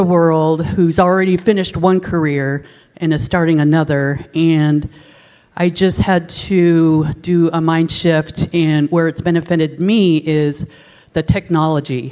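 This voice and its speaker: A woman with a fairly low pitch, fairly even intonation and a fairly slow pace. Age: 50s. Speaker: audience member, HR generalist. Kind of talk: audience question at conference session. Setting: conference session with audience. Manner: halting with many fillers.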